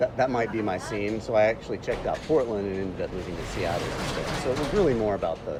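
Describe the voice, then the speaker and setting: A man with an American accent talks at a very fast pace with hardly any pauses, medium pitch and ordinary pitch variation. Noticeable background noise is present. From US South, Atlanta. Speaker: writer and arts journalist. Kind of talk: radio interview. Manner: halting, many restarts.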